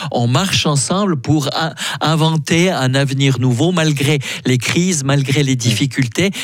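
Over noticeable background noise, the pitch varies in an ordinary way as the talking moves at a moderate tempo. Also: man. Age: 60s. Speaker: priest and theology professor. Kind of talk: radio interview. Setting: studio.

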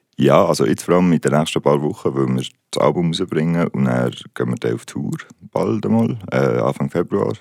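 A man with a very deep, low pitch talks at a fairly quick pace. His intonation is lively. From Switzerland, Basel. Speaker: musician. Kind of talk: interview. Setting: studio.

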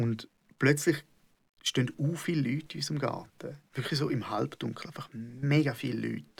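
This man's fairly high pitch comes with vocal fry, fairly even intonation and a moderate pace. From Switzerland, Schaffhausen. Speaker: comedian. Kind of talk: casual conversation.

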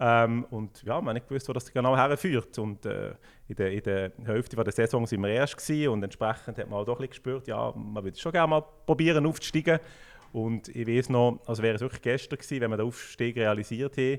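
The recording is very clean, with a silent background. A man of medium pitch talks at a very fast pace with ordinary pitch variation. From Switzerland, Fribourg canton (Düdingen). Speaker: football club sporting director. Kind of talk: casual interview.

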